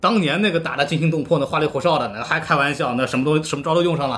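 With noticeable background noise behind him, a man with a fairly high pitch talks at a very fast pace in an animated tone. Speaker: podcast host. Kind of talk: casual chat.

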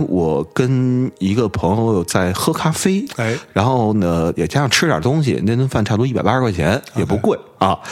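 A man's fairly low voice at a fairly slow pace, with very wide pitch swings, hardly any pauses, and noticeable background noise. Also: very even loudness. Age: 30s. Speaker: podcast host from another show. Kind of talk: casual chat. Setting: late-night recording. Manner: animated.

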